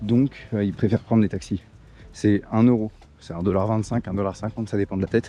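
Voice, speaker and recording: The tone is dark and mellow. The pace is fairly quick, with fairly even intonation. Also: man. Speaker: travel vlogger. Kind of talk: casual vlog narration. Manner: hesitant, many fillers; loud.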